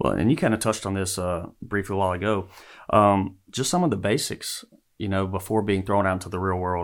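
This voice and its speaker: Fairly low-pitched male speech in a Louisiana accent, fairly quick and fairly even in intonation, on a very clean recording with a silent background. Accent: Southern US (Louisiana). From US South, northern Louisiana. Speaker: school principal. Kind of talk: casual interview. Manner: halting, many fillers.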